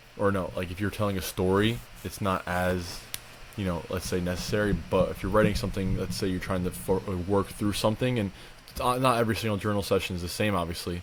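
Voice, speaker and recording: Someone talks at a very fast pace with ordinary pitch variation. There is noticeable background noise. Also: man, fairly low pitch for a man. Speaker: podcast co-host. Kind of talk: casual chat. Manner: fast when passionate.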